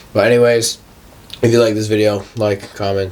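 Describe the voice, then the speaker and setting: A man speaks in a relaxed tone over noticeable background noise. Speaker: fitness vlogger. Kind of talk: casual vlog talk. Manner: casual, relaxed.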